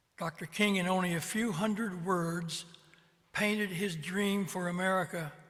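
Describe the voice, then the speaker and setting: A man speaks with a high pitch and monotone, flat intonation. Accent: Midwestern US. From Ohio (Columbus). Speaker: retired clergyman. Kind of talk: personal testimony. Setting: video call.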